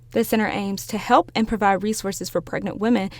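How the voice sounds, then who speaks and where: The woman has a normal speaking voice at a medium pitch. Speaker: TV news reporter and anchor. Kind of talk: broadcast news reporting and anchoring. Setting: on-location stand-up and studio anchor delivery.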